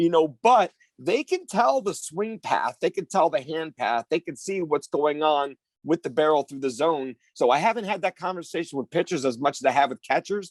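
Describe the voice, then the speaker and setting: Energetic and lively in intonation, a man speaks at a moderate pace in a dry, close sound with no echo. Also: fairly high pitch for a man. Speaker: softball and baseball training facility owner and coach. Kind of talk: podcast interview. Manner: loud.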